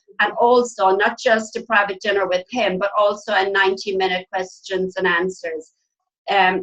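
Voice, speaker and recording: A woman's medium-pitched voice in an Irish accent, with fairly even intonation. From Ireland. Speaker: nurse and network marketing team trainer. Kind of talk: online team training presentation.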